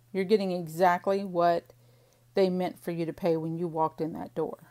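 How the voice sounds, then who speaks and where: This woman speaks with a Missouri accent. Her tone is dark and mellow, with ordinary pitch variation. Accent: Missouri drawl, fully back. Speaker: crafter / planner vlogger. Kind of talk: casual chat while crafting. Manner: chatty, rambling talk-through.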